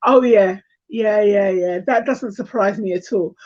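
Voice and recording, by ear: Speaking at a fairly slow pace, a woman has a slightly mellow tone and ordinary pitch variation. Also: medium pitch for a woman.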